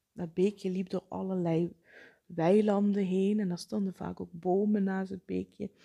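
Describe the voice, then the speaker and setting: Monotone, flat intonation and a dark, mellow tone at a fairly slow pace, in a dry, close sound with no echo. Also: woman, medium pitch for a woman. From Netherlands, South Limburg. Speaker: podcast host, psychologist. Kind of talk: solo podcast monologue.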